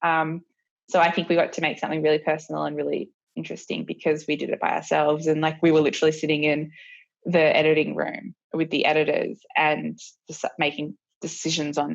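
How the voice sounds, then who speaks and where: This woman has an Australian accent. She talks fairly quickly. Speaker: professional skier and film producer. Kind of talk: interview answer. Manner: casual, relaxed.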